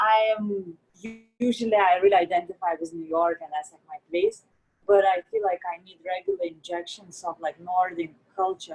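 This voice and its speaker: Over background music, a woman speaks at a moderate pace and medium pitch. Her intonation is fairly even, and the sound is dry and close with no echo. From Lithuania, Kaunas. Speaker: artist. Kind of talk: casual chat.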